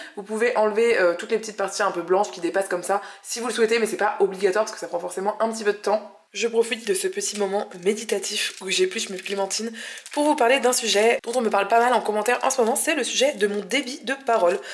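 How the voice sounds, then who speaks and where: Speaking at a very fast pace, a woman has a fairly high voice with ordinary pitch variation. Noticeable background noise is present. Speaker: vegan cooking youtuber. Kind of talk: cooking tutorial.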